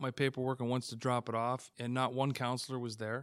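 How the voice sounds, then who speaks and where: A man with a Canadian accent talks at a fairly quick pace and medium pitch in a monotone, flat intonation, in a very clean recording with a silent background. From Hamilton, Ontario, Canada. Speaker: city council candidate. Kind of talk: interview.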